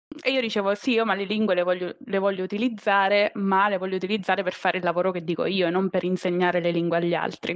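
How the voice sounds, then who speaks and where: A woman talks at a very fast pace with very even loudness and fairly even intonation. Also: medium pitch for a woman. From Abruzzo, Italy (Teramo). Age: 30s. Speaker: biologist turned corporate employee. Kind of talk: interview. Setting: live stream.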